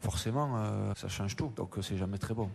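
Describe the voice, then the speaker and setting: This man has a plain, everyday voice at medium pitch. He talks at a fairly quick pace with ordinary pitch variation. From France. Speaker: football coach. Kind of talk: interview.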